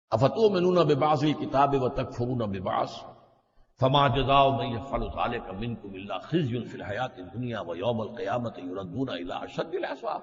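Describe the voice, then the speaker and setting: Lively intonation in a man's voice of medium pitch. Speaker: Islamic scholar giving a religious lecture. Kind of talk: religious sermon / lecture.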